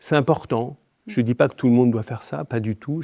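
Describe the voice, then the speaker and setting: A man talks at a fairly quick pace in a dark, mellow tone. The recording is very clean, with a silent background. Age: 60s. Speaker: activist leader. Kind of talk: podcast interview. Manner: hesitant with many fillers.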